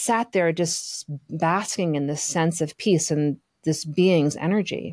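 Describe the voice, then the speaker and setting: A woman speaks in a normal speaking voice at a fairly slow pace. Her pitch varies in an ordinary way on a very clean recording with a silent background. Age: 50s. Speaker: podcast co-host, spiritual teacher. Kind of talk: casual chat.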